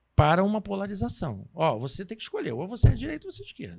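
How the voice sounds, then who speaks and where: This man's pitch swings very widely. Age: 50s. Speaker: podcast host. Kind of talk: interview.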